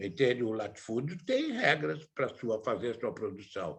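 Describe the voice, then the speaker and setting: A man speaks with vocal fry at a moderate pace. His pitch makes very wide swings. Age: 80s+. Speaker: theatre director. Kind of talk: talk / interview.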